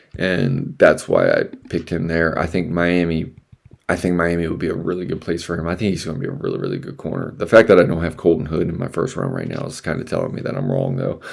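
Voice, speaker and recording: Mumbling at a very fast pace, a man speaks in a very deep, low pitch. His intonation is lively. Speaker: podcast host. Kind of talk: solo podcast, NFL mock draft talk. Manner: mumbling, rambling; casual.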